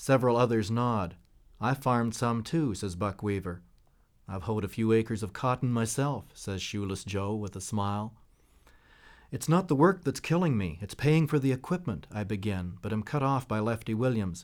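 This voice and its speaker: At a moderate pace and medium pitch, a man speaks in a normal speaking voice with lively intonation on a very clean recording with a silent background. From Canada. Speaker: author. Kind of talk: interview with reading aloud from his novel.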